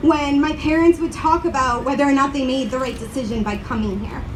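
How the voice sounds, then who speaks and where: A woman with an American accent talks at a fairly quick pace in a high, shaky voice with lively intonation. Noticeable background noise and audible room echo surround her. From grew up in the US, family from Uruguay. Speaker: community organizer. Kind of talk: rally speech.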